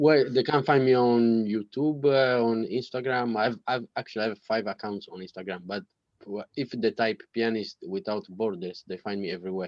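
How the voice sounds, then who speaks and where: A man with an Italian accent talks with ordinary pitch variation. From Sardinia, Italy. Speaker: pianist. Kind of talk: casual interview. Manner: halting.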